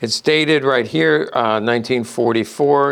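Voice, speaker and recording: With ordinary pitch variation and a moderate pace, a man talks in an unremarkable speaking voice. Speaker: gun collectibles dealer. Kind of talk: show-and-tell product presentation. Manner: casual, many fillers.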